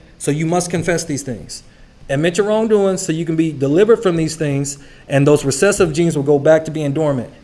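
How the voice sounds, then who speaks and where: A fairly high-pitched man at a fairly quick pace, with ordinary pitch variation and audible room echo. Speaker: Bible study teacher. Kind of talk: sermon. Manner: fast.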